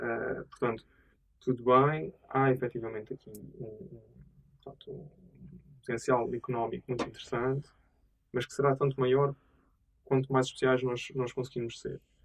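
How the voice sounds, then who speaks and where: A man speaks at medium pitch and a moderate pace, somewhat breathy, with ordinary pitch variation. His loudness swings widely, and he pauses long and often. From Azores, Portugal. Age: 30s. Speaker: tech entrepreneur. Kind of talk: interview. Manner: hesitant, many fillers.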